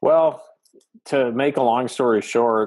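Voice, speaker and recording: Here a man talks with a slight Canadian accent. His intonation stays fairly even. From Atlantic Canada. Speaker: business coach, podcaster. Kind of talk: interview.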